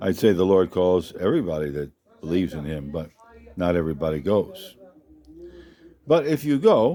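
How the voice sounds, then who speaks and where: A man's very deep, low-pitched voice. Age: 80s+. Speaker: missionary. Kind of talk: testimony.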